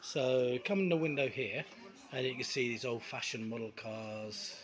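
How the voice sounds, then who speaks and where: Light background noise behind a male speaker. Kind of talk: casual vlog chat. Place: bar. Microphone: phone near.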